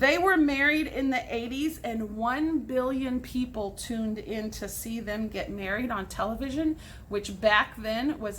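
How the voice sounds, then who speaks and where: A woman with an American accent speaks at a fairly slow pace in a high voice, her intonation lively and her tone animated, with audible room echo. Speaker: teacher. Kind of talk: recorded class lesson.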